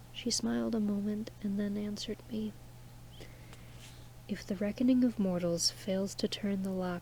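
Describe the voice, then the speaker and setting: A soft-spoken, calm tone at a fairly slow pace. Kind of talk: poetry reading.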